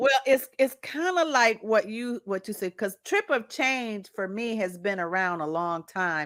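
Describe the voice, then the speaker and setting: A woman speaks at a fairly high pitch with very wide pitch swings and hardly any pauses, at a fairly slow pace. The recording is very clean, with a silent background. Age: 60s. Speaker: podcast host. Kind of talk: interview.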